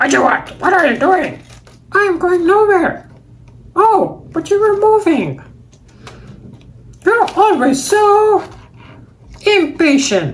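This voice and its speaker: Someone puts on an extremely high-pitched character voice, speaking at a fairly slow pace with long, frequent pauses. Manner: exaggerated, cartoonish.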